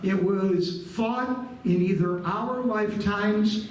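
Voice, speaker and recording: A man speaks very slowly in a high-pitched voice. The room echo is audible and there is noticeable background noise. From Buffalo, New York, US. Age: 70s. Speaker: guest lecturer, retired nonprofit executive. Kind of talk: history lecture to a live audience. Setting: room with live audience. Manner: conversational, engaging the audience.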